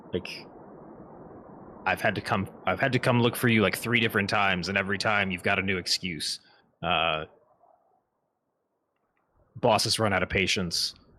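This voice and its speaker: A man puts on a guttural character voice, fairly low in pitch, with fairly even intonation and very even loudness. He talks at a moderate pace, with long, frequent pauses. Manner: impatient, annoyed.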